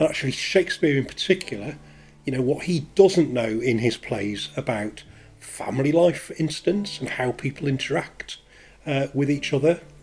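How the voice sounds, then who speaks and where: With a Leeds accent, a man at a fairly high pitch speaks at a moderate pace with ordinary pitch variation while music plays in the background. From northern England, Leeds. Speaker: counsellor. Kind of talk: casual personal introduction to camera. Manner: hesitant, with fillers.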